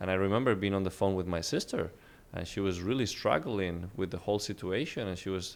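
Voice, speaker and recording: A man with a Spanish accent talks in a fairly low pitch. The recording is very clean, with a silent background. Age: 20s. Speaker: real estate entrepreneur. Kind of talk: interview.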